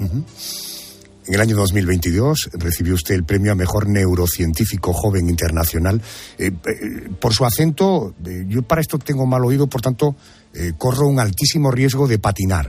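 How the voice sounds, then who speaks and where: A somewhat breathy man with fairly low pitch, lively intonation and a moderate pace. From Andalusia. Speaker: radio host. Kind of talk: interview. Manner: formal.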